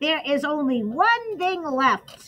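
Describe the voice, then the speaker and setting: A woman puts on a character voice at a high pitch. Her pitch swings very widely. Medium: read story. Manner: brisk, matter-of-fact.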